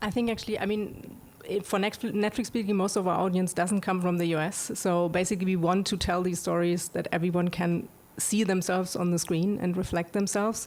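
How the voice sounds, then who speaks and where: At a fairly quick pace, a woman with a non-native accent speaks at medium pitch in a monotone, flat intonation and very even loudness, with noticeable background noise behind her. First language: not English. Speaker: streaming animation executive. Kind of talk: panel discussion. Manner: halting, many fillers.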